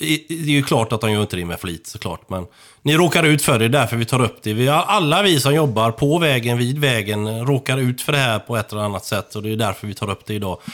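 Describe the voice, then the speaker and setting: A man talks in a plain, everyday voice. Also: very clean recording, silent background. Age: 50s. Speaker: traffic controller. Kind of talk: casual chat.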